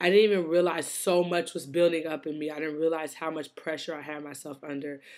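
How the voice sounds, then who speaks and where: A woman speaks with a very deep, low pitch and monotone, flat intonation. The recording is very clean with a silent background. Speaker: weight loss vlogger. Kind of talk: personal vlog. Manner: hesitant, many fillers.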